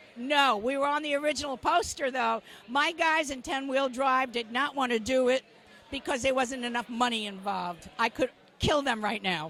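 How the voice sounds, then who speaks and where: A woman talks at a moderate pace in a high pitch with a bright, sharp tone and ordinary pitch variation. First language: not English. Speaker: rock singer and songwriter. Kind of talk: interview. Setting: opening night event.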